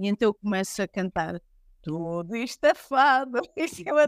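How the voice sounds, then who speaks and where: A woman at a fairly slow pace, in a dry, close sound with no echo, on a very clean recording with a silent background. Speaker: fado singer. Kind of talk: interview.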